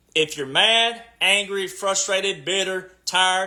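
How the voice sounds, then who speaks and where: A man's raised, projected voice, high in pitch, bright and sharp in tone, passionate, with ordinary pitch variation, on a very clean recording with a silent background. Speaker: political commentator livestreamer. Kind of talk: livestream monologue. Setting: live stream. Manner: loud and passionate.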